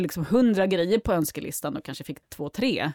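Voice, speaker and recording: Her intonation is lively and her pace moderate. The woman's recording sounds dry and close, with no echo. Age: 40s. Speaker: circular economy executive. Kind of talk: casual interview.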